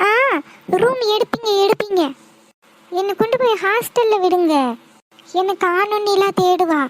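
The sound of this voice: A cartoonish character voice from a woman, extremely high in pitch, at a very slow pace.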